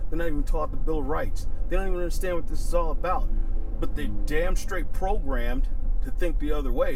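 Noticeable background noise sits under a man's extremely high-pitched voice, which moves at a fairly quick pace in a dry sound with no echo. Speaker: firearms instructor and YouTuber; firearms instructor, YouTuber. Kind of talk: angry rant to camera. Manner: angry, heated, emphatic; repetitive, stumbling, punchy. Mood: angry, indignant. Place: car.

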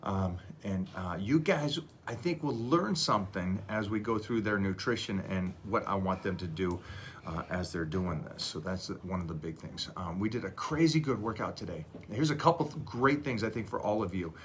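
A man speaks in a fairly low, somewhat breathy voice over light background noise. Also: lively intonation, moderate pace. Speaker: fitness coach. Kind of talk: casual live stream chat. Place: home room. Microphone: phone near.

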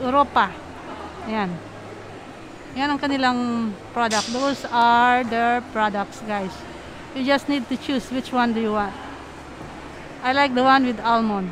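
A woman's high-pitched voice with fairly even intonation at a fairly slow pace, long and frequent pauses, a dry sound with no echo, and noticeable background noise. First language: Tagalog. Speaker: travel and food vlogger; vlogger customer. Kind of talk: casual vlog narration. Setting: shopping mall. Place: shop. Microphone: phone near.

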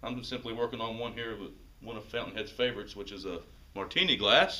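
A man talks at a very fast pace with fairly even intonation. His loudness swings a lot. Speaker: golf shop staff presenter. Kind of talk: mock infomercial pitch. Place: shop.

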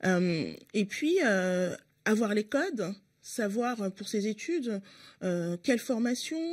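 Against a quiet background, a woman talks with lively intonation and a somewhat breathy voice. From France, Paris working-class neighbourhoods. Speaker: member of parliament and party spokesperson; party spokesperson. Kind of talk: radio interview. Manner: hesitant, many filler sounds. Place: studio. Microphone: studio mic.

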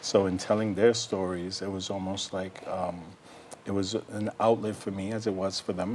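A man's fairly low voice at a moderate pace, intonation fairly even, with light background noise. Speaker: guest. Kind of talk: interview answer. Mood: earnest, reflective. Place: studio. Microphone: lapel.

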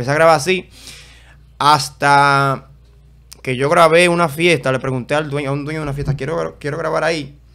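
Over a quiet background, a man with a fairly high pitch and a bright, sharp tone speaks with long, frequent pauses. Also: fairly even intonation, fairly quick pace. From Dominican Republic, Santo Domingo; Dominican Republic. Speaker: event videographer and content creator; content creator. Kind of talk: casual interview chat. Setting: studio. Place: studio. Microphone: studio mic.

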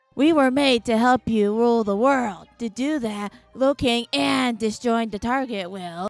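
A female-sounding voice, put on as a character, speaks at a moderate pace and a fairly high pitch with hardly any pauses. Music plays behind it. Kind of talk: acted character dialogue. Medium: machinima. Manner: sarcastic, grumbling, insolent.

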